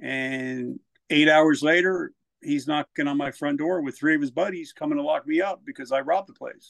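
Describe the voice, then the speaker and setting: A man with a New Jersey accent, fairly high in pitch, with ordinary pitch variation, a moderate pace, and a dry, close sound with no echo. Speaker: military veteran and author. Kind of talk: personal testimony in casual interview.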